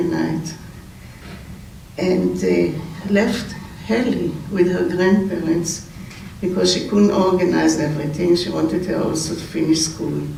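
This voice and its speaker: A voice with an Israeli accent over noticeable background noise. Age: 80s+. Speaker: family member giving eulogy. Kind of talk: memorial speech. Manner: halting, with self-corrections.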